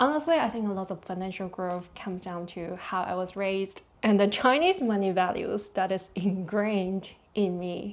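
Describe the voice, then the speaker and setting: A woman's medium-pitched voice at a moderate pace. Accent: Hong Kong. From Hong Kong. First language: Cantonese. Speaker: personal finance YouTuber. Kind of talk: personal finance vlog talk to camera.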